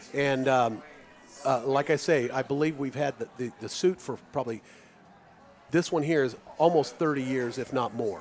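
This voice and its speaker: Over noticeable background noise, a man with an American accent speaks fairly slowly at a fairly high pitch with ordinary pitch variation. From Kansas, Lawrence. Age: 50s. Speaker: radio sports commentator. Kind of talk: live radio sports commentary chat. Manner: halting, many restarts.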